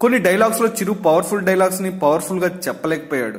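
A man talks in a high pitch with ordinary pitch variation. Noticeable background noise sits behind him. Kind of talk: entertainment news narration.

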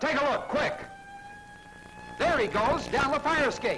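Faint music plays behind a man doing a put-on character voice, extremely high in pitch and bright and sharp in tone, with lively intonation at a fairly slow pace.

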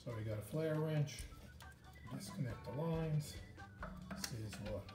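Loud music plays behind a man as he talks. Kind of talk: tutorial. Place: garage.

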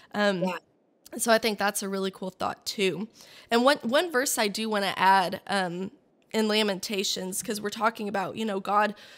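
A woman with an unremarkable speaking voice talks at a moderate pace, with a medium pitch and ordinary pitch variation. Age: 20s. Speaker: podcast host. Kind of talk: casual chat.

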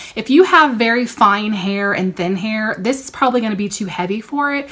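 A woman talks at a moderate pace in a fairly high pitch, with a bright, sharp tone and ordinary pitch variation. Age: 40s. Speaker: beauty YouTuber. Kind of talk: product haul review. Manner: animated. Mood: upbeat, enthusiastic. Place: home room. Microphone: phone near.

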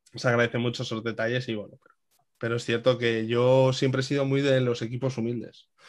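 At a very fast pace, a man with a medium pitch talks in a flat monotone, his loudness swinging widely. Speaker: futsal commentator. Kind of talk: casual chat interview.

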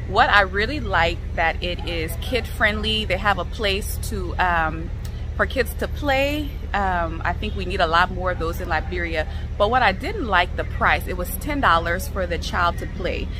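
Music plays in the background as a woman speaks in a dry sound with no echo. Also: moderate pace. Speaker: vlogger reviewing a restaurant. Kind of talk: casual vlog chat. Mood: critical, mildly exasperated. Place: garden. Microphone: phone near.

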